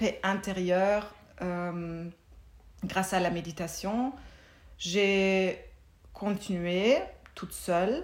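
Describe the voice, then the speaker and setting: A woman's medium-pitched voice with a German accent, very slow pace, fairly even intonation and long, frequent pauses. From Germany. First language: German (speaking French). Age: 40s. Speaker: mindfulness teacher. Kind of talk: casual interview.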